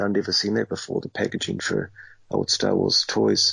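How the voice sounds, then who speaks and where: A man with a New Zealand accent talks at a moderate rate. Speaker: toy collector. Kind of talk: casual chat.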